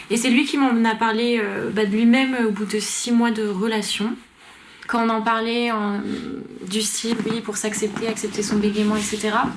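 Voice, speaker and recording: Over noticeable background noise, a woman speaks at a moderate pace. Her fairly high voice has monotone, flat intonation. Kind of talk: interview answer.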